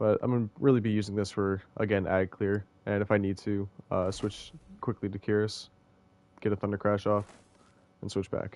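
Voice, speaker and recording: A man speaks in a fairly low pitch with monotone, flat intonation. Long, frequent pauses break it up against a quiet background. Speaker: gaming content creator. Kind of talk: tutorial. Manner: fast; casual, hesitant with fillers.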